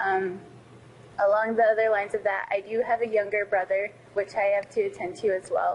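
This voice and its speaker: Speaking with an American accent, a woman uses a medium pitch and ordinary pitch variation. She keeps a fairly quick pace at a very even loudness. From Navajo Nation, Arizona. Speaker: scholarship recipient, college student. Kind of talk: personal testimony to camera. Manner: halting, with frequent fillers.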